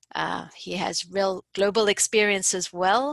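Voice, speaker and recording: A woman with a South African accent at a medium pitch, in a dry, close sound with no echo. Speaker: course instructor and researcher. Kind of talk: webinar presentation. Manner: hesitant, many fillers.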